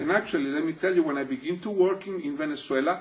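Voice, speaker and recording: Here a man with a Spanish accent talks at a fairly quick pace. His pitch is high, with very wide pitch swings. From Chile, Santiago. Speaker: physical therapist. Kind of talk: interview. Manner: halting.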